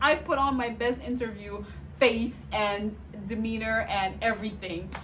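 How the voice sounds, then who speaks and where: There is noticeable background noise and audible room echo as a woman speaks at a fairly slow pace. Her fairly high voice has an animated tone and ordinary pitch variation. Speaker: vlogger and nurse. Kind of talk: casual storytelling vlog. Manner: loud.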